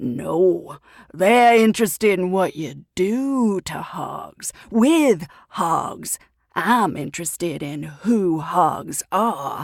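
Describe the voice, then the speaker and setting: A woman's put-on character voice at medium pitch, with very wide pitch swings and a very slow pace. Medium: read story. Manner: blunt, folksy, pushy.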